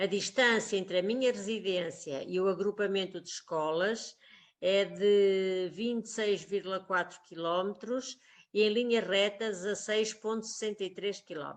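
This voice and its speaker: An ordinary speaking voice at a fairly slow pace, with fairly even intonation and a quiet background. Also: woman, medium pitch for a woman. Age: 60s. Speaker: schoolteacher. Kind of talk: personal testimony.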